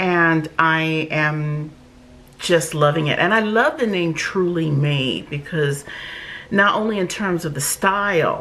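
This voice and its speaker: Amid noticeable background noise, a woman with a fairly low pitch speaks very slowly. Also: ordinary pitch variation. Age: 60s. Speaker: wig reviewer. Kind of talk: product review vlog. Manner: animated.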